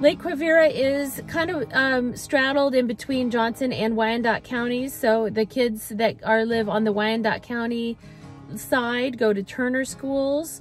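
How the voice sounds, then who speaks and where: Faint music plays behind a woman speaking at a fairly slow pace, in a dry sound with no echo. Her voice is high, with ordinary pitch variation. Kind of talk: neighborhood tour commentary. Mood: warm, upbeat. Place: car. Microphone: phone near.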